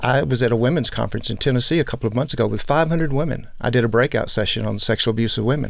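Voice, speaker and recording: With an American accent, a man of medium pitch talks at a very fast pace with hardly any pauses, ordinary pitch variation and vocal fry. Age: 60s. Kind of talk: interview.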